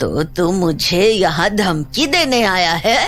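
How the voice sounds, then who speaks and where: Against clear background noise, a cartoonish character voice speaks at a very slow pace. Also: woman, medium pitch for a woman. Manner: stern, defiant.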